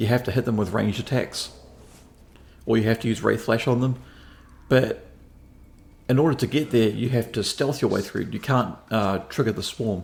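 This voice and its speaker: A somewhat breathy man speaks at a moderate pace with long, frequent pauses. His medium pitch follows fairly even intonation. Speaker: gaming video creator. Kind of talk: game walkthrough commentary. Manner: casual, slightly slurred.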